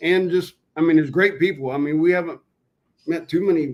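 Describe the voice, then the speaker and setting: Here a man talks in a southern Ohio accent. His pitch is high and his intonation fairly even. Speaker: Bigfoot hunter, military veteran. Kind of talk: casual chat. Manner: halting, many fillers.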